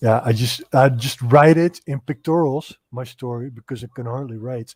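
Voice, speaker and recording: Somewhat breathy and with big swings in loudness, a man of medium pitch speaks at a moderate pace with fairly even intonation, the sound dry and close with no echo. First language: not English. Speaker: comic book creator. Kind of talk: casual interview chat.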